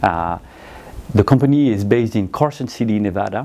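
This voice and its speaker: A man with a French accent, fairly low pitch and a dark, mellow tone. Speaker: audio company managing director. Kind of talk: product presentation.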